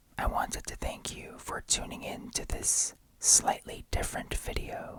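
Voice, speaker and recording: Whispering, a man speaks at a fairly slow pace. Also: big swings in loudness. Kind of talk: ASMR unboxing. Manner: whispered.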